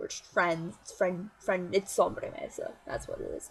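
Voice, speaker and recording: A woman's voice with music in the background. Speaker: vlogger. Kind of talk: casual vlog monologue. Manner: fast; animated.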